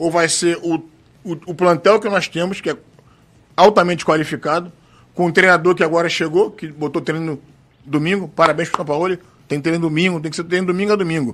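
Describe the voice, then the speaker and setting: A man with a high pitch speaks at a fairly quick pace and fairly even intonation, broken by long, frequent pauses. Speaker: football supporters' group president. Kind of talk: casual chat.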